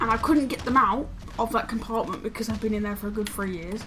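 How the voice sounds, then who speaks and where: A woman speaks with a British accent. Background noise is noticeable. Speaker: gaming YouTuber. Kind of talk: casual chat. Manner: halting.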